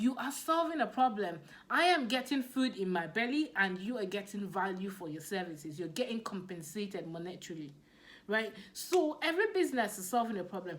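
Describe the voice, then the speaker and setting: A woman with a Nigerian accent speaks at a fairly quick pace and medium pitch. Her pitch swings very widely and her loudness shifts in big swings. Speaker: business coach. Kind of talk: motivational talk. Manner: animated.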